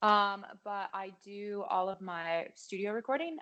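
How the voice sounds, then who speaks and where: A woman with an American accent talks at a fairly slow pace in an unremarkable speaking voice, medium in pitch with lively intonation. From Colorado (Thornton). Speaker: singer-songwriter. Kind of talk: casual interview chat. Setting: video call.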